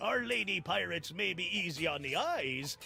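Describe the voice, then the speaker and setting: A man puts on a character voice that is rumbling yet fairly high in pitch. He speaks at a moderate pace over clear background noise. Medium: video game. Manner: grumbling pirate speech.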